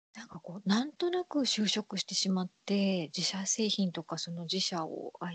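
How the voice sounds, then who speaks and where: Moderate tempo and ordinary pitch variation in a somewhat breathy female voice. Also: dry, close sound with no echo. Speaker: podcast host. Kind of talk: casual chat.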